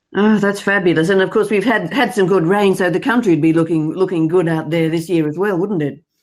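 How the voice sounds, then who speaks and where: With an Australian accent, a woman speaks fairly quickly with hardly any pauses and ordinary pitch variation, on a very clean recording with a silent background. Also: medium pitch for a woman. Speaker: interviewer, news podcast host. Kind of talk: interview questions.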